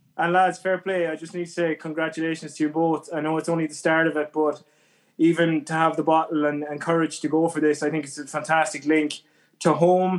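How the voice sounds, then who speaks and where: A man with a west of Ireland accent talks at a fairly quick pace in a fairly high pitch. His intonation is monotone and flat, on a very clean recording with a silent background. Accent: west of Ireland Irish. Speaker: emigrant. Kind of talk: casual interview.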